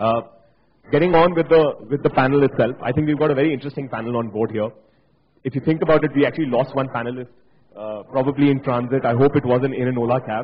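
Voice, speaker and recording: At a very fast pace, a man talks in a somewhat breathy, medium-pitched voice with ordinary pitch variation. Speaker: panel moderator. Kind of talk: panel discussion. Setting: stage with audience.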